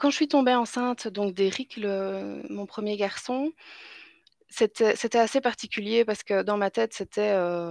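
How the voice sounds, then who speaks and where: At a fairly slow pace, a woman with a Belgian accent speaks at medium pitch with ordinary pitch variation, her sound dry and close with no echo against a quiet background. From Belgium. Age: 20s. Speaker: mother telling birth stories. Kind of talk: interview. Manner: halting, many fillers.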